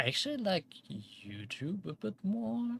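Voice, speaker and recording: A man is talking. There is some breathiness in his voice. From Germany. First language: German. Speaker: vtuber streamer. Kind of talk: casual gaming livestream chat. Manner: many fillers, casual.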